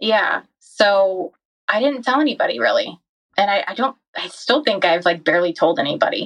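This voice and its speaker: This woman has a normal speaking voice at a medium pitch. She talks at a moderate pace with lively intonation. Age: 30s. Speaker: physician assistant. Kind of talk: personal testimony in interview.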